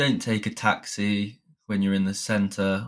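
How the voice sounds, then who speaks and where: A fairly low male voice with a British accent on a very clean recording with a silent background. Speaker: English teacher podcaster. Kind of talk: solo podcast monologue. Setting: home recording with new microphone. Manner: explanatory.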